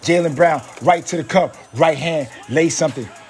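Sounding energetic and excited, a man with a fairly high pitch talks at a moderate pace over background music. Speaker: sports voiceover artist / aspiring sports host. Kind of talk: sports play-by-play voiceover audition. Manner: energetic, hyped, excited.

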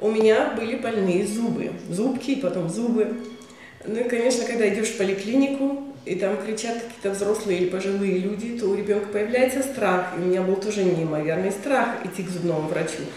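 Speech comes at a fairly quick pace with ordinary pitch variation, audible room echo and light background noise. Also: woman. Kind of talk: interview answer. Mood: warm, personal reflection. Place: office.

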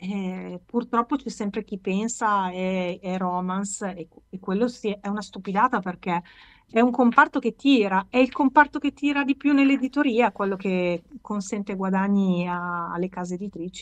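A woman at a moderate pace, with big swings in loudness and ordinary pitch variation, against a quiet background. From Milan, northern Italy. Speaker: author; interviewee. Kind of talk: casual interview. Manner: halting, with many fillers. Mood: warm, animated, smiling. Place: home room. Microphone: video call.

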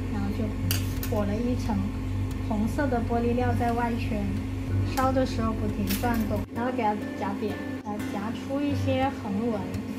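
A woman talks fairly slowly. Behind her, music is playing. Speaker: glass craft instructor. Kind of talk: tutorial. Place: workshop. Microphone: phone near.

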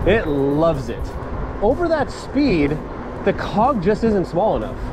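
Music plays in the background while the speech moves at a moderate pace. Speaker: bike reviewer riding. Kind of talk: casual ride-along review commentary. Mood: relaxed, upbeat. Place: bicycle.

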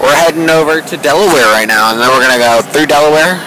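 A man talks at a very fast pace with ordinary pitch variation. The sound is dry with no echo, and background noise is noticeable. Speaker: vlogger. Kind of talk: casual vlog chat. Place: boat. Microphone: phone near.

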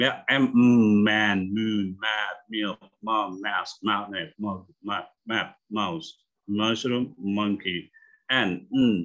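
A man's fairly low voice at a very slow pace, with ordinary pitch variation and a quiet background. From Indonesia. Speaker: English teacher; phonics teacher. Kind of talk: online lecture. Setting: video call. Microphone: video call.

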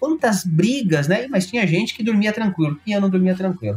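A man talks fairly quickly with lively intonation while noticeable noise runs in the background. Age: 40s. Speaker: tech company founder and angel investor. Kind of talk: interview.

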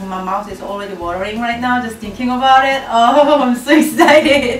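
A woman speaks in a high voice with audible room echo. Faint music plays behind her. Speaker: cooking show host. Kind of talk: cooking tutorial. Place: kitchen.

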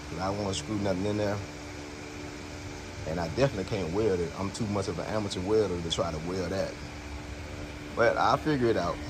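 Over noticeable background noise, a man talks at a fairly quick pace in a fairly low voice. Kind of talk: casual vlog chat. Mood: relaxed, thinking aloud. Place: street. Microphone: phone near.

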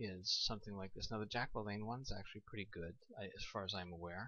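A soft-spoken man is talking. His pace is fairly quick. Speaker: home video blogger. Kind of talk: casual product review. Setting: at home at night.

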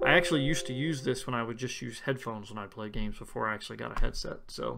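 This very clean recording has a silent background. In it, a man talks at a very fast pace. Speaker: tech YouTuber. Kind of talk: tutorial.

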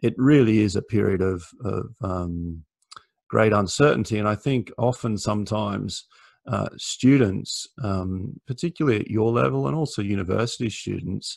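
A man with an Australian accent speaks at a moderate pace and a fairly low pitch, with lively intonation. The background is quiet and the sound dry with no echo. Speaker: lawyer. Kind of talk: career talk to students. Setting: video call. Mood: warm, relaxed, encouraging. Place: home room. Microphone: video call.

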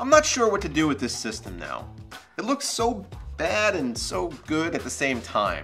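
The speech moves at a moderate pace, with faint music in the background. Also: man. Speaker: tech video host. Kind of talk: tech review narration. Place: office.

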